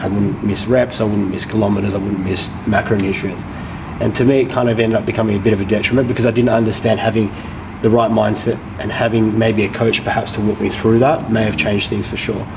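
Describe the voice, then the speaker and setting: A man speaks very fast in a fairly low, monotone voice with flat intonation. Audible room echo and noticeable background noise surround him. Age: 30s. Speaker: boxing gym owner and former boxer. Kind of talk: casual chat.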